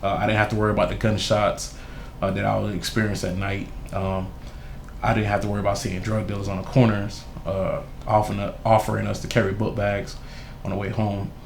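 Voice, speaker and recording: Against noticeable background noise and audible room echo, a man with a fairly low pitch speaks at a very fast pace with long, frequent pauses and monotone, flat intonation. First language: Haitian Creole. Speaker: youth mentor and school board candidate. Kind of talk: interview testimony.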